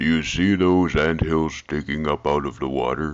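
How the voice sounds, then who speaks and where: In a cartoonish character voice, a man speaks at a moderate pace with a very deep, low pitch. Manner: unbothered, amused.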